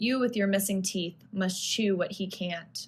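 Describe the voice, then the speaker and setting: A woman with a normal speaking voice, medium in pitch, fairly slow and fairly even in intonation. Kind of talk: poetry reading.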